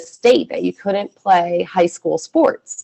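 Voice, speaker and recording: A woman with an American accent, an unremarkable speaking voice, medium pitch, a fairly slow pace, and a dry, close sound with no echo. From US Northeast, Philadelphia area then southern Michigan. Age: 40s. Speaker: former extremist turned prevention worker. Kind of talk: personal testimony in webinar. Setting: video call webinar. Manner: casual, frequent fillers like 'like' and 'um'.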